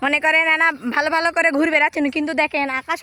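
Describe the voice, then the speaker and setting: This woman's voice is high-pitched, raised and projected, with a bright, sharp tone. Her pitch varies in an ordinary way, and the sound is dry and close with no echo. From Bangladesh, Bogura. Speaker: vlogger. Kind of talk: casual vlog. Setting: outdoors. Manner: animated.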